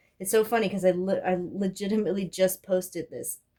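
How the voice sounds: Speaking in a put-on character voice, a woman talks very fast in a hoarse, medium-pitched, flat monotone. Her loudness swings widely.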